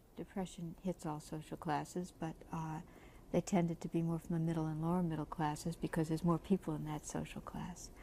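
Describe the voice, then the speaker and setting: Soft-spoken and at a fairly low pitch, a woman talks at a moderate pace in a dark, mellow tone with ordinary pitch variation. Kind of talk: interview.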